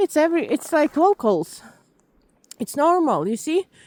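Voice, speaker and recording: A woman with a non-native accent speaks at a fairly slow pace with lively intonation. The sound is dry and close, with no echo. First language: not English. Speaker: vlogger. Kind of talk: walking vlog narration. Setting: outdoors in snow. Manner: halting, with fillers.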